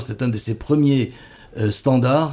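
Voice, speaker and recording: This man has a dark, mellow tone at a medium pitch. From France, Bordeaux. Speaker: radio host. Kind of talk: radio interview. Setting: studio.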